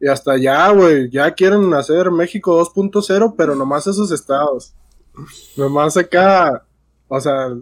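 This man speaks at a fairly slow pace. His pitch variation is ordinary. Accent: Mexican. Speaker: podcast co-host. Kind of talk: casual chat.

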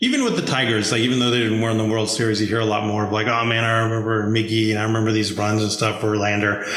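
Very fast and with hardly any pauses, a man talks at a fairly low pitch in a flat monotone at very even loudness, with audible room echo and noticeable background noise. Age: 30s. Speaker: sports podcast host. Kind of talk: casual chat.

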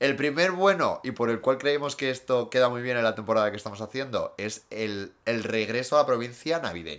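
A man with an unremarkable speaking voice talks at a medium pitch. He uses lively intonation and hardly any pauses. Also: fairly quick pace. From Asturias, Spain (Gijón). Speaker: podcast co-host. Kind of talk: casual chat.

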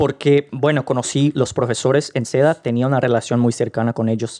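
Against a quiet background, a man with a Portuguese accent speaks at medium pitch in a dark, mellow tone, his intonation fairly even and the sound dry and close with no echo. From Brazil, Rio de Janeiro. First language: Portuguese (speaking Spanish). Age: young. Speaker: podcast guest. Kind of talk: casual interview.

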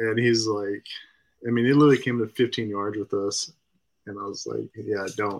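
In an American accent, a man with a plain, everyday voice speaks at medium pitch and a moderate pace, his intonation fairly even and the sound dry and close with no echo. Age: 20s. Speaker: hunting guide. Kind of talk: casual chat.

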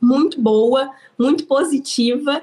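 A woman talks, her pitch varying in an ordinary way. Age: 30s. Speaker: business owner. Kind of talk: interview.

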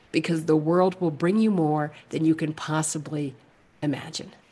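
Speaking with an American accent at a moderate pace, a woman with a fairly low pitch has an unremarkable speaking voice over a quiet background. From New York City (Manhattan). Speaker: actress and comedian. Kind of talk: casual chat.

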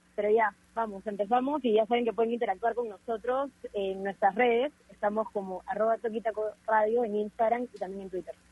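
This woman has a normal speaking voice with a fairly high pitch. She talks at a fairly quick pace with fairly even intonation. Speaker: sports radio co-host. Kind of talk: casual chat.

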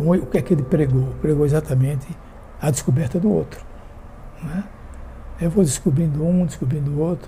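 Over music in the background, a man with a fairly high pitch talks at a fairly quick pace with ordinary pitch variation and long, frequent pauses. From Sergipe, Brazil. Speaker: retired teacher and army veteran. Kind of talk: interview.

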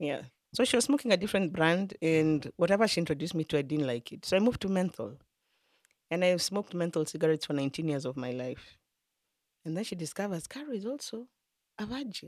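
A woman's fairly low voice at a very fast pace, with very wide pitch swings. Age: 40s. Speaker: addictions therapist and recovery coach. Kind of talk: testimony. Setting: studio.

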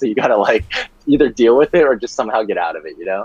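A man talks at a very fast pace with lively intonation, in a dry, close sound with no echo. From China. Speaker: software engineer. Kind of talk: casual chat.

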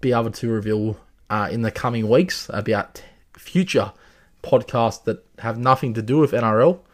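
A man with an Australian accent speaks at a medium pitch on a very clean recording with a silent background. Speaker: rugby league tipster podcaster. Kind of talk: solo podcast, sports predictions and recap. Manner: halting, filler words, hesitant.

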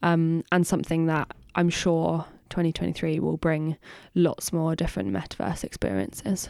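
A woman speaks with a Bristol accent at fairly low pitch. The recording is very clean, with a silent background. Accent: Bristolian English. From Bristol, England. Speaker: podcast co-host, marketer. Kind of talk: casual chat.

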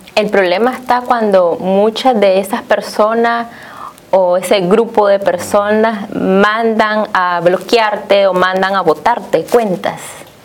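A woman speaks very slowly in a medium pitch over noticeable background noise. Her intonation is fairly even and her loudness very even. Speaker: TV host. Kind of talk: TV talk show.

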